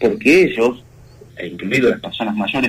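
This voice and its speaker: Using vocal fry, a man talks at a moderate pace with very wide pitch swings. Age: 40s. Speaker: communication consultant. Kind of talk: interview.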